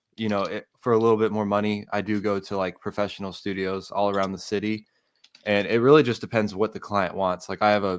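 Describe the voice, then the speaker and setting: A man's fairly low voice, flat and monotone, at a fairly quick pace on a very clean recording with a silent background. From US South, Atlanta, Georgia. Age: 20s. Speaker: music producer and audio engineer. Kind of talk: casual interview.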